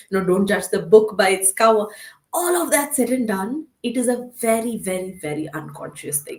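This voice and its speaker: Somewhat breathy speech from a woman with a fairly high pitch, very wide pitch swings, big swings in loudness and a moderate pace. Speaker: counselor and educator. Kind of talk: casual discussion.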